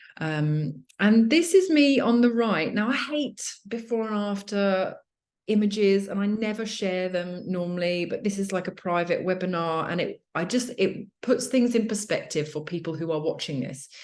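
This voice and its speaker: In a British accent, a woman talks at a moderate pace and medium pitch with lively intonation. The background is quiet. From UK. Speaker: fitness coach for mothers. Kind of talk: webinar presentation. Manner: casual, many fillers.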